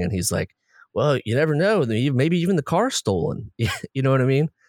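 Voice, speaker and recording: On a very clean recording with a silent background, a man with an American accent speaks with lively intonation in a dry, close sound with no echo. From Ohio, US Midwest. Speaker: podcast host. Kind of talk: casual chat. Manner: halting, many fillers.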